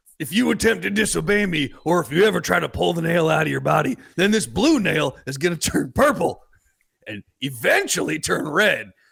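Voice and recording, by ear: Putting on a character voice, a man speaks at a moderate pace with a fairly high pitch, big pitch swings, vocal fry, a slightly husky edge and a fairly bright tone.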